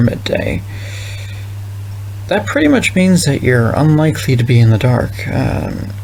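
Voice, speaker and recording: Moderate-paced male speech with noticeable background noise and audible room echo. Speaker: vlogger thinking out loud. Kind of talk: casual monologue. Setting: recording alone at night. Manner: halting.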